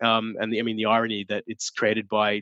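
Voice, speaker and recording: Recorded dry and close with no echo, a man with an Australian accent talks at a fairly quick pace. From Australia, Sydney. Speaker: advertising strategist. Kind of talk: interview.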